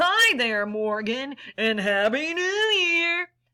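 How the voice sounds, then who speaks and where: A put-on character voice crawls along at a very slow pace. Its pitch swings very widely. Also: woman, high pitch for a woman. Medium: read story.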